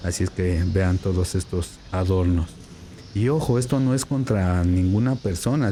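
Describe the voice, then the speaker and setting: The voice is quiet, with ordinary pitch variation. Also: man. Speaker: Bible student and video commentator. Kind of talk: vlog commentary while filming. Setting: inside a church. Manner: speaking quietly.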